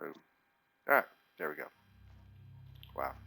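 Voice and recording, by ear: Bright and sharp in tone, a man with a Texan accent speaks at a fairly slow pace. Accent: Texan, Southern US.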